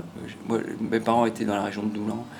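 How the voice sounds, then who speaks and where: Music plays in the background. A man is speaking. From northern France (Pas-de-Calais, Picardy). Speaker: retired doctor. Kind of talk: life story interview. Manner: hesitant, many fillers.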